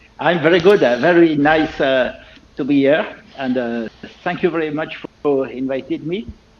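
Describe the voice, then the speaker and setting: At a moderate pace, a man with a fairly high voice and ordinary pitch variation speaks over noticeable background noise. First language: French. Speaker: loudspeaker designer and company owner. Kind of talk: interview. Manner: halting, many fillers.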